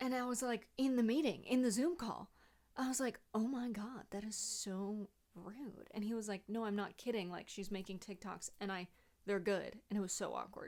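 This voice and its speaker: Her voice sits fairly high, and this woman's pitch varies in an ordinary way. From Connecticut, New York tri-state area. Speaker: political commentator and content creator. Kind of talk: casual Q&A vlog.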